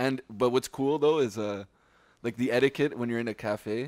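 In a very clean recording with a silent background and a dry, close sound with no echo, a man talks at a moderate pace with ordinary pitch variation. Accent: Montreal. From Quebec, Montreal West Island (Pointe-Claire). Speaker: podcast co-host. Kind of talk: casual chat.

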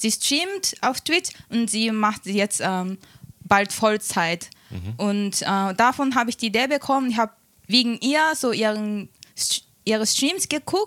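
With a Japanese accent, a woman speaks at a fairly slow pace in a fairly high voice, with ordinary pitch variation and a dry, close sound with no echo. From small town in Japan. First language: Japanese (speaking German). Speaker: Twitch streamer. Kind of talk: interview. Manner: halting.

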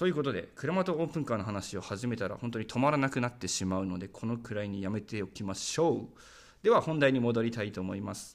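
This man talks very rapidly, his medium-pitched voice rising and falling in a lively way. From Saitama, Japan. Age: 20s. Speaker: podcast host, rural community volunteer. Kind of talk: solo podcast monologue.

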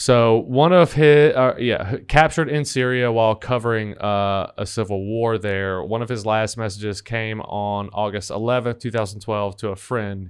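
Against a quiet background, a man talks at a moderate pace with hardly any pauses. He has an ordinary speaking voice of medium pitch with ordinary pitch variation. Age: 30s. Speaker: podcast host. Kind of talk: casual chat.

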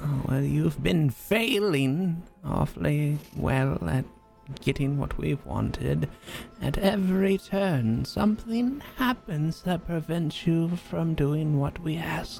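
A put-on character voice at a middle pitch moves at a fairly slow pace. Clear music plays in the background. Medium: actual play. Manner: menacing, condescending, syrupy.

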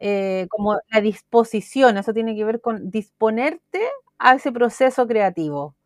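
Fairly slow speech from a woman at a fairly high pitch, in a Chilean accent, with a dry, close sound and no echo. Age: 40s. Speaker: art therapist. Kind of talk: interview.

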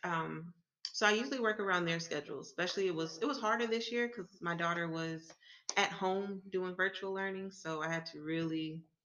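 Talking at a fairly quick pace, a woman has a plain, everyday voice with a fairly low pitch and ordinary pitch variation. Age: 20s. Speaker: entrepreneur. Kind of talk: interview.

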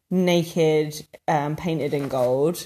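This woman has a southern English accent. She speaks at a very slow pace. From England, London area (Harrow). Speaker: podcast co-host. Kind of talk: casual chat.

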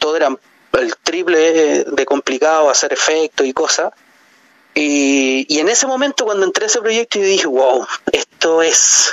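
A man's fairly high-pitched voice at very even loudness, with noticeable background noise. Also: fairly slow pace. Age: 40s. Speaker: film director. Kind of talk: interview. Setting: phone call. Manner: halting.

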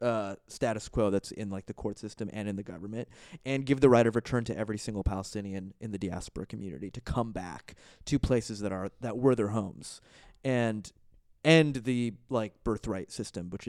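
In an ordinary speaking voice with an American accent, a man talks at a moderate pace and fairly low pitch, with ordinary pitch variation and big swings in loudness, on a very clean recording with a silent background. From Florida. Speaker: stand-up comedian. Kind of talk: casual chat.

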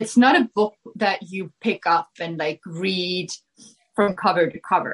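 In a dry, close sound with no echo, a woman with an Estonian accent speaks at a fairly slow pace, her loudness swinging widely. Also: medium pitch for a woman, ordinary pitch variation. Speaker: filmmaker and motorcycle racer. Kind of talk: casual chat.

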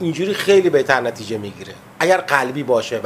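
Over noticeable background noise, a man speaks very fast with lively intonation. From Abadan, southwestern Iran (Khuzestan). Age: 50s. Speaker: musician. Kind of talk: interview. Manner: halting.

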